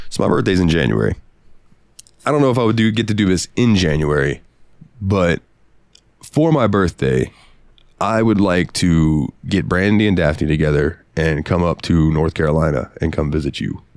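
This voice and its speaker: A man's very deep, low voice with vocal fry, very even loudness and lively intonation, at a moderate pace with long, frequent pauses. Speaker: podcast co-host. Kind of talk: casual chat. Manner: animated.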